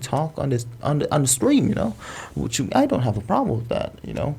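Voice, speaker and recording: Vocal fry runs through a man's dark, mellow tone as he speaks with an American accent. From Indonesia. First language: Indonesian. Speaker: content creator. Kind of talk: casual chat.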